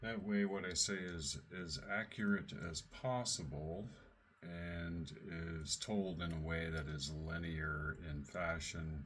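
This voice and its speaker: Amid noticeable background noise and audible room echo, the speaker goes at a very slow pace with ordinary pitch variation. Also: man, very deep, low pitch for a man. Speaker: radio show host and researcher. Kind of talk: casual chat. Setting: live radio show linked by call.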